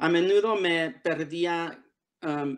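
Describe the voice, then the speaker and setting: A man with an English accent speaks against a quiet background. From Los Angeles area, US (born Tijuana, Mexico); Los Angeles. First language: English (speaking Spanish). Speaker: author. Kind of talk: prepared essay read aloud; reading aloud from a book. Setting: video call. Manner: halting, many fillers. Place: home room. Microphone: video call.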